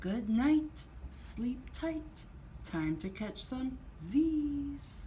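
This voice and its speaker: A woman performs a put-on character voice at a very slow pace. Clear background noise is audible. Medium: read story. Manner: mellow, cool.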